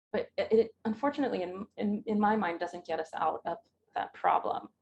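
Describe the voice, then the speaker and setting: The sound is dry and close, without echo. A woman speaks fairly quickly. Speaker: digital humanities scholar. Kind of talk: Q&A after lecture. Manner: hesitant with many fillers.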